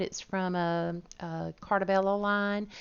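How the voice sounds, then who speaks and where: A woman talks with a Southern US accent. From US South, Georgia. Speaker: crafting YouTuber. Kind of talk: voiceover tutorial narration.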